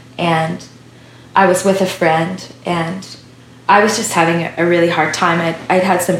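At a moderate pace, a woman speaks with medium pitch and monotone, flat intonation over noticeable background noise. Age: 30s. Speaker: worship songwriter and singer. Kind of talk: interview. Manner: halting.

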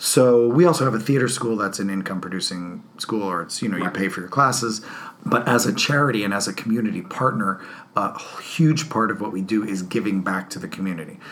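A fairly low-pitched man with an American accent, lively intonation and a fairly quick pace, over noticeable background noise. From New Jersey. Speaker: theater artistic director. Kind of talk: interview.

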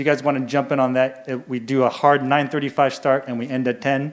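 A man's fairly high voice with fairly even intonation, a normal speaking voice. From US Midwest (Iowa). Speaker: youth ministry director. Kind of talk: church presentation. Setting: church service.

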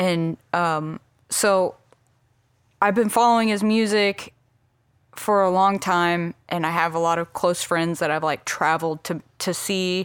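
On a very clean recording with a silent background, a woman speaks in a fairly low voice. She talks fairly slowly with fairly even intonation. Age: 30s. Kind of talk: casual chat.

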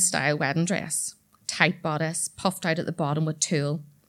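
With a Northern Irish accent, a woman speaks at a moderate pace on a very clean recording with a silent background. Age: 30s. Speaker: storyteller. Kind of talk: storytelling performance. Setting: stage with audience.

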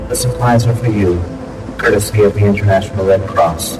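A man puts on a robotic character voice at a fairly low pitch. He speaks at a fairly quick pace over loud music in the background. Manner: flat, mechanical.

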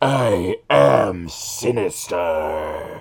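This is a put-on character voice. It sounds raspy. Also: man, fairly low pitch for a man. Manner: robotic.

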